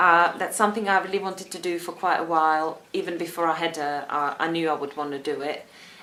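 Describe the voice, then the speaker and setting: A woman with a Czech accent speaks at a very fast pace with hardly any pauses. Her pitch is fairly low and her intonation fairly even. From Czech Republic. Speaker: vlogger. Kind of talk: casual vlog talk.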